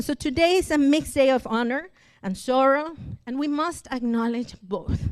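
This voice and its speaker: A woman with a Spanish accent speaks at a high pitch with ordinary pitch variation. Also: moderate pace. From Mexico (Cancun). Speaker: church member and translator. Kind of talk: testimony.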